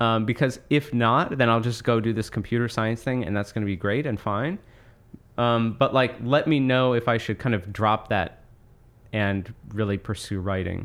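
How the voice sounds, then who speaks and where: This man has an unremarkable speaking voice at a medium pitch, with ordinary pitch variation, a moderate pace, and an American accent over a quiet background. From US Northeast, Monmouth County, New Jersey. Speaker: author. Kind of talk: interview conversation.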